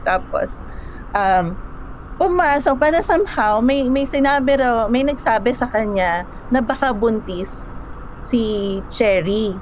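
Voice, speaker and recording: Lively intonation and a high pitch mark this woman's voice, her loudness very even. She speaks at a very slow pace over noticeable background noise. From Philippines. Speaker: storyteller guest. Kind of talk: storytelling interview. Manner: halting.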